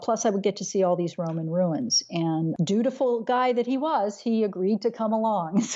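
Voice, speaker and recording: The speaker has a plain, everyday voice and lively intonation. The pace is moderate. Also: woman. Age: 60s. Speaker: travel blogger. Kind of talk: interview.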